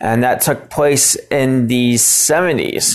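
A man with an American accent at a very slow pace. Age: 30s. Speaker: podcast host. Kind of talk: casual monologue. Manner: hesitant, many filler ums.

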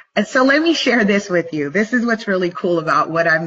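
With noticeable background noise behind her, a woman speaks in an animated tone at a moderate pace. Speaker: motivational livestream host. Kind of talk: motivational talk. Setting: livestream video.

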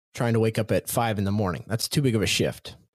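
In a very clean recording with a silent background and a dry, close sound without echo, a man speaks very fast in an energetic, animated tone. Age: 40s. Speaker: confidence coach and podcast host. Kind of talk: motivational solo podcast monologue.

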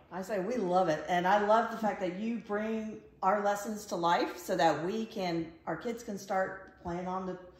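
A woman speaks at a moderate pace and a medium pitch. Noticeable background noise runs beneath her voice. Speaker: podcast host. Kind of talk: casual interview chat.

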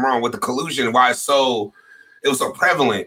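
At a moderate pace, a man speaks with a bright, sharp tone and vocal fry. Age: 30s. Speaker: podcast host. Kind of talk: casual chat.

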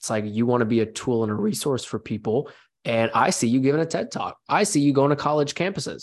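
The recording is very clean, with a silent background. A man speaks at a medium pitch with ordinary pitch variation. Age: 20s. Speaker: podcast host. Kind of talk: interview conversation. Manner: animated.

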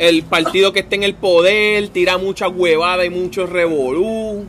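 Over noticeable background noise, a man with a high voice speaks at a very slow pace with ordinary pitch variation. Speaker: podcast co-host. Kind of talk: casual chat.

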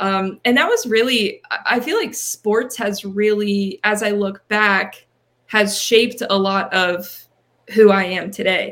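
A woman with an American accent talks at a very slow pace. Her medium pitch holds fairly even intonation. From Pennsylvania, Reading area. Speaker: marketing manager and podcast host. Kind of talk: interview.

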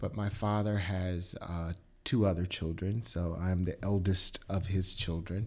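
At a fairly slow pace, a man with an American accent speaks in a fairly low pitch and a dark, mellow tone. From US Midwest, Milwaukee. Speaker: TV news anchor and reporter. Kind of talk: casual interview.

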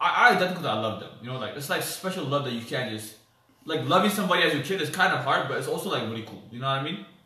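Talking at a very fast pace with an American accent, a man with a fairly high pitch makes very wide pitch swings and big swings in loudness over noticeable background noise. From US, DC area (DMV), Ethiopian family. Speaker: podcast co-host. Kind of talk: casual chat.

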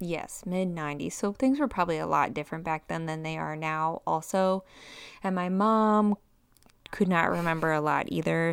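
Using a normal speaking voice, a woman talks at a moderate pace with a fairly low pitch and ordinary pitch variation. The recording is very clean, and the background silent. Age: 30s. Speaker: podcast co-host. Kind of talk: casual chat.

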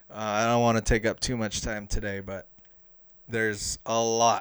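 A man's fairly low voice in a Southern California accent, fairly quick and monotone with flat intonation. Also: very clean recording, silent background. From Los Angeles, San Fernando Valley. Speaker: sports podcast host. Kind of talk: casual solo podcast monologue.

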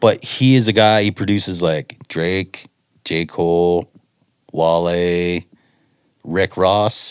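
A man speaks at a very slow pace with long, frequent pauses and a very deep, low pitch. His intonation is fairly even, and the sound is dry, close and very clean against a silent background. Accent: Canadian. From Ontario, Canada. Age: 40s. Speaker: music producer. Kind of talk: casual chat.

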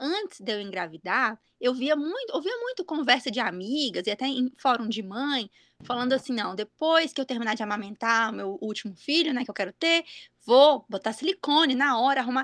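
A woman's high-pitched voice, with a dry, close sound and no echo. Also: lively intonation, moderate pace. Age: 30s. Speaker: podcast host, mother. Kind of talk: casual chat.

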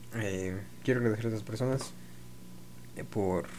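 A man's somewhat breathy, fairly low-pitched voice comes through with audible room echo. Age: 20s. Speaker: podcaster. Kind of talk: solo monologue. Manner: halting.

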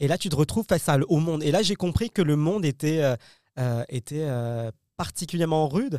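With lively intonation and a dark, mellow tone, a man speaks at a fairly high pitch in a dry, close sound with no echo. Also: fairly quick pace, very clean recording, silent background. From France, Paris. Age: young. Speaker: comedian. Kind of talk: casual interview. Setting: studio.

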